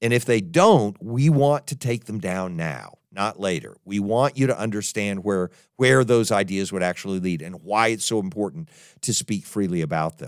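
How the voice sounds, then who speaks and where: A man has an unremarkable speaking voice with a fairly low pitch. His intonation is lively, and his pace is moderate. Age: 60s. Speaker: podcast host and college president. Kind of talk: monologue podcast commentary.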